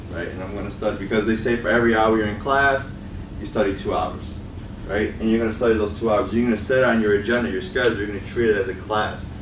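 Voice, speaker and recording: A man talks at a very fast pace with a fairly low pitch and fairly even intonation. Audible room echo and noticeable background noise surround him. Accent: Chicago. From Chicago. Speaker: college instructor and education video creator. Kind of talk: student workshop talk. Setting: meeting room with student audience. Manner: casual, filler-heavy.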